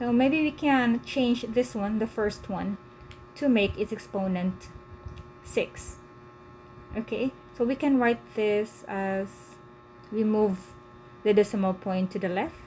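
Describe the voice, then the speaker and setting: Speaking fairly slowly with long, frequent pauses, a woman uses a fairly high pitch and ordinary pitch variation. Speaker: tutor. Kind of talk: live one-on-one lesson. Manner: hesitant, with fillers.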